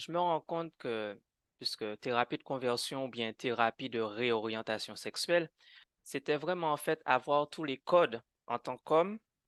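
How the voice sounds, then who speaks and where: The sound is dry and close, with no echo, over a quiet background. Pitch variation is ordinary. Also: man. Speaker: conversion therapy survivor. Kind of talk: testimony in a podcast interview. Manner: animated; halting, with repetitions.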